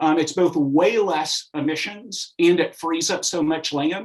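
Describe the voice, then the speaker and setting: Pitched fairly high, a man talks with ordinary pitch variation. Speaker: nonprofit co-founder, panelist. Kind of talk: panel presentation. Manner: fast.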